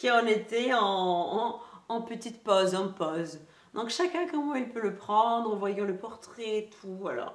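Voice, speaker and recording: A woman speaks with audible room echo. Noticeable background noise runs behind her. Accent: Greek. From Greece. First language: Greek (speaking French). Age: 20s. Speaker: lifestyle youtuber. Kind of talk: casual haul video chat. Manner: hesitant, many fillers.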